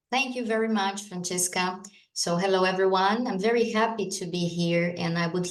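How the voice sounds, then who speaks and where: Speaking at a medium pitch with a Brazilian accent, a woman is heard with audible room echo. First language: Portuguese. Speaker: lawyer and AI law expert. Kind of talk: conference talk. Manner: hesitant, with fillers.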